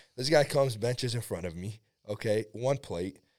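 A man's plain, everyday voice with ordinary pitch variation, in a very clean recording with a silent background. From Iraq and Syria, moved to US at 11. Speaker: powerlifter. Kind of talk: casual chat.

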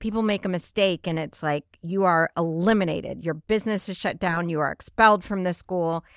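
On a very clean recording with a silent background and a dry, close sound with no echo, a woman speaks at a fairly quick pace. She has an unremarkable speaking voice, a fairly low pitch and fairly even intonation. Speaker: podcast host. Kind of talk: casual chat.

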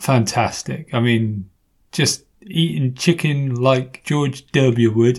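Somewhat breathy, a man with an English accent speaks very slowly at a medium pitch with ordinary pitch variation. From England. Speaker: podcast host. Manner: playful, joking.

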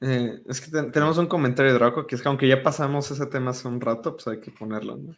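A man of medium pitch races along at a very fast pace with hardly any pauses, fairly even intonation and big swings in loudness, against a quiet background. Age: 20s. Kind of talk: casual chat.

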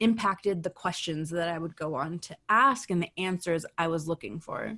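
On a very clean recording with a silent background and a dry, close sound with no echo, a woman with an ordinary speaking voice talks fairly slowly at a fairly low pitch with ordinary pitch variation. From United States, Iranian immigrant parents. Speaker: sociology professor. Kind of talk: interview conversation. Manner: casual with many fillers.

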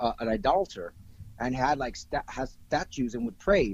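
A man speaks in a normal speaking voice, at a medium pitch with ordinary pitch variation. He talks at a moderate pace with an American accent. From US South, Florida (Miami). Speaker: film director. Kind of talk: casual chat.

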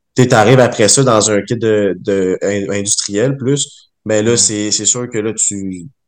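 A man in a Quebec accent, fairly low-pitched, at a very slow pace with fairly even intonation. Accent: Québécois French. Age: 20s. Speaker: brewer. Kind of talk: casual chat. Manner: halting.

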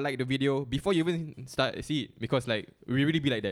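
At a very fast pace, a man with a Singaporean accent speaks in a fairly high pitch with ordinary pitch variation. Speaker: podcast co-host. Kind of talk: casual chat.

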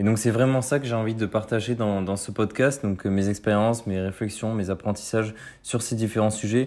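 With fairly even intonation and a fairly low pitch, a man talks at a moderate pace. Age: 20s. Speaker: student podcaster. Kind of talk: solo podcast monologue. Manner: halting, many fillers.

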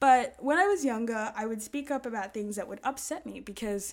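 In an ordinary speaking voice with ordinary pitch variation, someone talks at a moderate pace on a very clean recording with a silent background. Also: woman. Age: 20s. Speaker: podcast host. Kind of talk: solo monologue podcast. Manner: casual, chatty.

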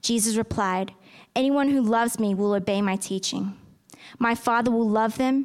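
A woman's normal speaking voice, fairly high-pitched, with fairly even intonation and a moderate pace, on a very clean recording with a silent background. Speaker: scripture reader at church. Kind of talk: reading aloud. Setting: church.

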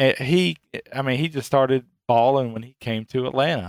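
An unremarkable speaking voice moves at a moderate pace with ordinary pitch variation, its sound dry and close with no echo in a very clean recording over a silent background. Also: man. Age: 40s. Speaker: sports podcast co-host. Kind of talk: casual chat.

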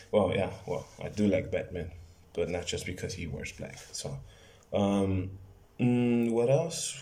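A man with an American accent speaks fairly slowly in a fairly low voice with lively intonation. Noticeable background noise and audible room echo surround him. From Los Angeles, California. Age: 20s. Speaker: podcaster and fitness trainer. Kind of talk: casual monologue. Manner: halting, with frequent repetitions.

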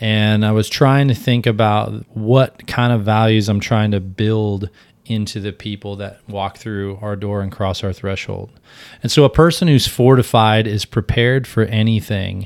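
This man has an ordinary speaking voice, fairly low, with fairly even intonation at a moderate pace. The recording is very clean, with a silent background. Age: 40s. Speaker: podcast host and gym owner. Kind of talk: interview.

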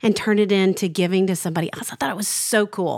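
A woman talks at a very fast pace. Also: dry, close sound with no echo. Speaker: podcast host. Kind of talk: casual chat. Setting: studio.

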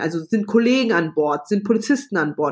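The speaker is a woman. She talks with lively intonation. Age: 30s. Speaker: flight attendant. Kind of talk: interview. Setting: video call. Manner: loud.

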